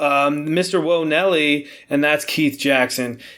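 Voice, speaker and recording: The man speaks with an American accent at a fairly high pitch. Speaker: boxing podcast host. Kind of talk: podcast monologue. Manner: casual, conversational.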